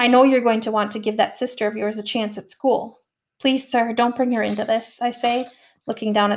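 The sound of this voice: Over a quiet background comes an unforced reading voice with fairly even intonation.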